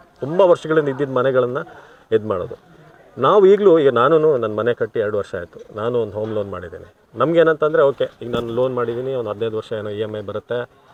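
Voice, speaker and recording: Noticeable background noise behind a man of medium pitch, with lively intonation and big swings in loudness. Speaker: former TV news anchor and voice-over artist. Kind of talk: casual interview.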